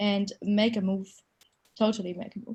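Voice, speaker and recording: In a slight German accent, a woman speaks at a fairly quick pace and medium pitch, somewhat breathy and with an enthusiastic tone. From Germany. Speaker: reusable cup scheme organiser. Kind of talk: panel discussion.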